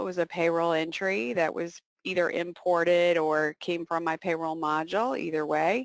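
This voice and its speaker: A woman speaks at a moderate pace with hardly any pauses, in a fairly low pitch with ordinary variation. It is an ordinary speaking voice with a dry, close sound and no echo. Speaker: software presenter, CPA. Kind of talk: webinar software demo.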